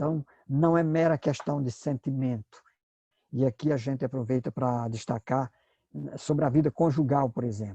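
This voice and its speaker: The dark, mellow voice moves at a moderate pace with fairly even intonation and long, frequent pauses, recorded dry and close with no echo. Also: man, medium pitch for a man. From Brazil, Northeast. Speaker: pastor and Bible teacher. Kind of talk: lecture. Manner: hesitant, with filler sounds.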